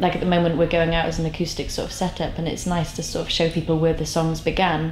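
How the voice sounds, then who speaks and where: A woman's fairly low, monotone voice with flat intonation at a very fast pace, with audible room echo and noticeable background noise. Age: 20s. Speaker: singer-songwriter. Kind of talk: interview. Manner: halting.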